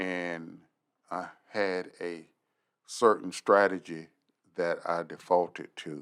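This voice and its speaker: Very slow and broken by long, frequent pauses, a man with an American accent speaks in a very deep, low, monotone, flat voice. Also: big swings in loudness. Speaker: retired sheriff and hostage negotiator. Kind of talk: interview. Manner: calm.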